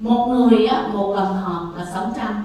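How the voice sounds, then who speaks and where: Over noticeable background noise and audible room echo, a woman talks at a very slow pace. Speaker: public commenter at city council. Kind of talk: public comment speech.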